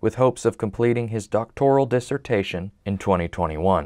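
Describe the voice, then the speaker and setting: A man with an American accent has an ordinary speaking voice, a medium pitch and ordinary pitch variation. The sound is dry and close, with no echo. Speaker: TV news reporter and anchor. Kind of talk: recorded news package voiceover. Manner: measured, serious hard-news narration.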